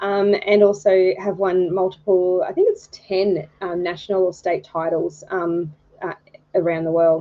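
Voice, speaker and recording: Music plays in the background as a woman with an Australian accent speaks at a medium pitch with fairly even intonation. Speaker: photography judge, retired birth photographer. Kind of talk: live stream introduction. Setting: live stream. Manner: hesitant, many fillers.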